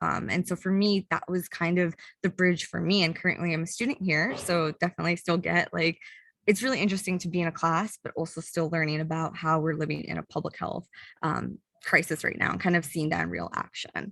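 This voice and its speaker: Dry and close with no echo, this very clean recording on a silent background features a woman at a fairly low pitch. She talks at a fairly quick pace with vocal fry and fairly even intonation. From US Midwest, Chicago. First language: not English. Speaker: public health graduate student. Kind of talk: panel presentation. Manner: casual, many fillers.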